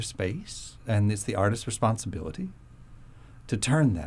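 With a dark, mellow tone and a somewhat breathy quality, a man talks at a moderate pace. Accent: American. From Florida. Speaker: concert pianist. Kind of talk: radio interview. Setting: studio.

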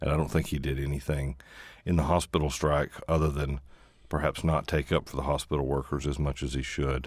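With an American accent and vocal fry, a man speaks at a fairly quick pace in a very deep, low pitch and a monotone, flat intonation. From East Tennessee. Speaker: newspaper columnist and author. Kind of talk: radio interview. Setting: radio studio. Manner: soft-spoken.

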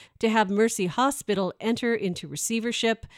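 A woman's ordinary speaking voice at medium pitch and moderate pace, dry and close with no echo, on a very clean recording with a silent background. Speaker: public radio news anchor. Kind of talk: news reading, scripted radio newscast. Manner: formal; steady, even-paced.

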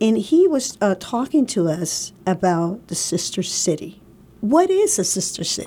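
A woman speaks at a fairly slow pace with very wide pitch swings. Her tone is dark, mellow and somewhat breathy. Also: medium pitch for a woman. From Puerto Rico. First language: Spanish. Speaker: community radio host. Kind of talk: radio interview.

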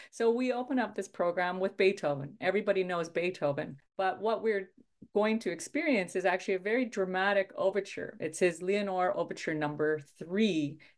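Over a quiet background, someone with a Canadian Prairie accent talks at a fairly quick pace with hardly any pauses and ordinary pitch variation. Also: woman, medium pitch for a woman. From Saskatchewan, Canada. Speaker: orchestra conductor. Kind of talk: radio interview.

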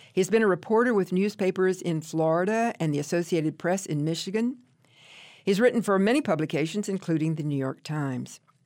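Using an ordinary speaking voice, a woman with a medium pitch talks at a fairly quick pace with lively intonation, on a very clean recording with a silent background. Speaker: radio book show host. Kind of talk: radio host patter, interview and introductions. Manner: warm, polished, conversational, brisk announcer cadence.

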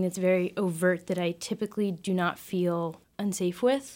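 In a very clean recording with a silent background, a woman with an American accent speaks in a plain, everyday voice. Her pitch sits at a medium level, her intonation fairly even, and her pace moderate. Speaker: college student. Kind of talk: panel discussion.

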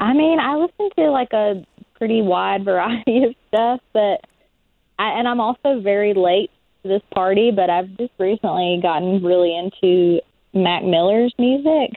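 A woman with an ordinary speaking voice talks at medium pitch with lively intonation. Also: moderate pace, very even loudness. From southwest Virginia mountains. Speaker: singer-songwriter. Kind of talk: interview. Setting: phone call.

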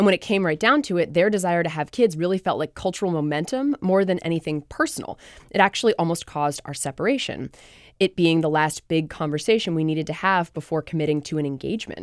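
Fairly low in pitch with ordinary pitch variation, a woman speaks at a very fast pace in a very clean recording, silent background, with a dry, close sound and no echo. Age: 30s. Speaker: podcast host and journalist. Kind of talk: radio interview.

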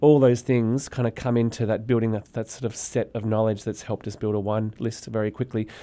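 Speaking fairly quickly with an Australian accent, the man has a dark, mellow tone and a flat, monotone delivery. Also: medium pitch for a man, very clean recording, silent background. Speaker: restaurant owner. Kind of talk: interview.

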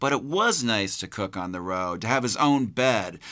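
A man's bright, sharp tone with very wide pitch swings, on a very clean recording against a silent background. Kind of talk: audiobook narration of a novel, read aloud.

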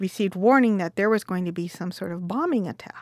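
A woman with an American accent speaks at a fairly quick pace, using a medium pitch and ordinary pitch variation. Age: 50s. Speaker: interviewee sharing family history. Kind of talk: casual conversation. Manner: hesitant, many fillers.

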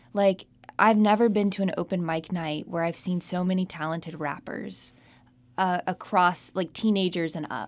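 A woman with an ordinary speaking voice and an American accent speaks at a fairly low pitch and moderate pace, with fairly even intonation, on a very clean recording with a silent background. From Charlotte, North Carolina. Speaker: podcast co-host. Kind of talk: casual chat. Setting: studio.

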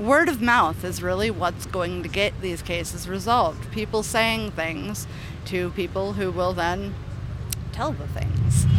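Fairly slow speech with audible room echo and noticeable background noise. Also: woman. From Cave Junction, southern Oregon. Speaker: community advocate, founder of missing person project. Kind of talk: interview. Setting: outdoors at a rally.

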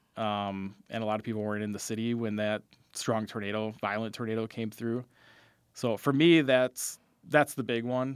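A man with an American accent has an ordinary speaking voice at a medium pitch. He keeps a moderate pace and fairly even intonation on a very clean recording with a silent background. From Wisconsin, Fond du Lac. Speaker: meteorologist. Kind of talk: radio interview.

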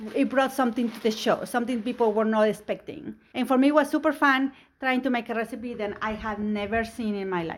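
A speaker with a Spanish accent talks at a fairly quick pace, with ordinary pitch variation and hardly any pauses. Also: woman, fairly high pitch for a woman, very clean recording, silent background. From Mexico. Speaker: home cook and cooking competition winner. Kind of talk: radio interview about cooking.

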